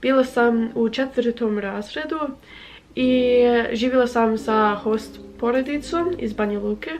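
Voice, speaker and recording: Her voice sits at a fairly high pitch, and this woman shows ordinary pitch variation. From United States. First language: English (speaking Croatian). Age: 20s. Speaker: language-learning vlogger. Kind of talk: casual vlog talk. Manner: halting with filler sounds.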